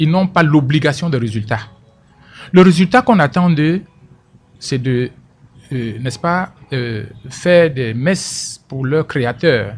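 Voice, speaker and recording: Somewhat breathy, fairly high male voice full of lively intonation. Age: 60s. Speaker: political commentator. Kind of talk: radio interview. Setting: radio studio. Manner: animated; repeats words when speaking.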